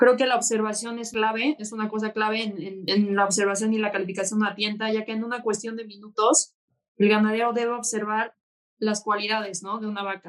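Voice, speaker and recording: The woman speaks at a fairly quick pace and a fairly high pitch. Her intonation stays monotone and flat. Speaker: bull breeder. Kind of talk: casual chat.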